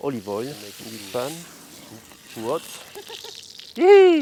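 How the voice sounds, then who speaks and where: Noticeable background noise sits behind a man speaking at a very slow pace. His pitch makes very wide swings. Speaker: chef. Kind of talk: cooking demonstration. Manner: halting, many repetitions.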